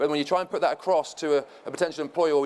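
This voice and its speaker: Talking at a very fast pace, a man with a fairly high voice is heard over noticeable background noise. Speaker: former professional footballer, panel speaker. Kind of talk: conference presentation.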